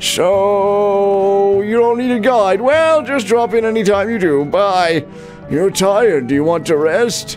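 A put-on character voice moves at a fairly slow pace, with clear music in the background. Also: man, high pitch for a man.

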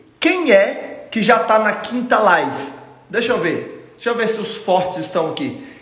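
Male speaker at a moderate pace, with audible room echo. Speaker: exam prep course host. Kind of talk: live stream talk to viewers. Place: home room. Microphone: phone near.

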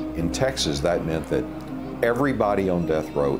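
A man talks at a moderate pace, with clear music behind him. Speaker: interviewee. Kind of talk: interview answer. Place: home room.

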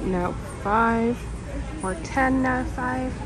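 The woman's voice sounds dry with no echo, and clear music plays in the background. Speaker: shopping vlogger. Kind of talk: casual vlog chat. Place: shop. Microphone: phone near.

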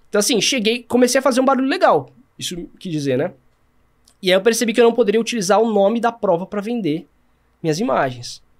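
Very fast, high-pitched male speech with lively intonation and long, frequent pauses, over a quiet background. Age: 30s. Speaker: sports filmmaker; podcast guest. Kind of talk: casual chat. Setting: studio. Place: studio. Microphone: studio mic.

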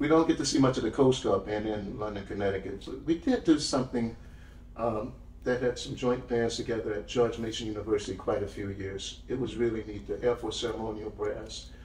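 A man speaks fairly quickly, with light background noise and an audible room echo behind him. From New Orleans, Louisiana. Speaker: retired army musician and historical interpreter. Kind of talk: casual interview chat. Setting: studio, in person. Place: studio.

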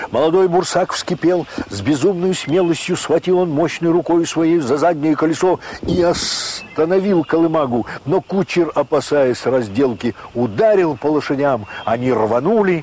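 Against noticeable background noise, a man with a fairly high voice speaks at a fairly slow pace. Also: lively intonation. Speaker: audiobook narrator. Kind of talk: audiobook narration of classic literature.

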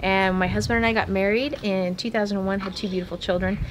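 Over music in the background, a woman speaks with fairly even intonation. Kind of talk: interview answer. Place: open country. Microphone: camera far.

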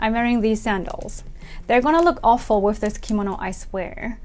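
Moderately paced speech from a woman. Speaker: kimono vlogger. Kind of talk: casual vlog chat. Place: home room. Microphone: lapel.

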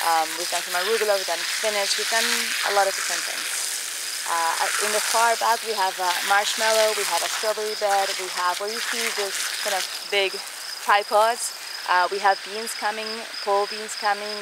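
A woman speaks at a moderate pace, her dry voice carrying no echo over loud background noise. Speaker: guide. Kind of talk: guided tour talk. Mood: calm, warm, reflective. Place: garden.

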